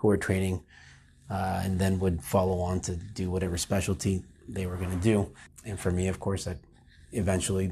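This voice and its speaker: In an American accent, the speaker talks fairly quickly in a monotone, flat way, with a dark, mellow, somewhat breathy tone. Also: man. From Florida. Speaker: lawyer. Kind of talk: interview monologue. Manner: halting.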